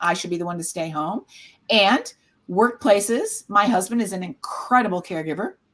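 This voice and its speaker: A woman speaks with a Midwestern accent. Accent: American Midwest. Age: 60s. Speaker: caregiver support nonprofit founder. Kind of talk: casual panel discussion.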